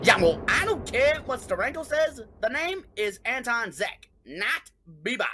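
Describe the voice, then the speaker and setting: This is a put-on character voice, gruff and fairly high in pitch. It moves at a fairly slow pace. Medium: read story. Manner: gruff, snorting.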